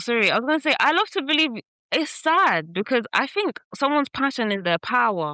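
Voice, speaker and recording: A woman uses a raised, projected voice, high-pitched with a bright, sharp tone and very wide pitch swings. She keeps a fairly quick pace at very even loudness. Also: dry, close sound with no echo. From East London. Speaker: podcast host. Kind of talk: casual chat. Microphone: laptop mic, poor rusty audio.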